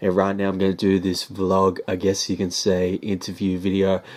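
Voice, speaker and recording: A man speaks in a very deep, low pitch with an Australian accent and a monotone, flat intonation. The recording is very clean, with a silent background. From Australia, Sydney. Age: 20s. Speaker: hip-hop artist. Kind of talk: vlog monologue. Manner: casual, filler-heavy.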